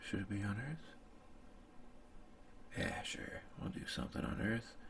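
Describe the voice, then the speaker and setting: The pace is moderate as a man speaks. Background noise is noticeable throughout. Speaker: ASMR content creator. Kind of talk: improvised ASMR storytelling while drawing, sleep aid. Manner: casual, laid-back, musing aloud.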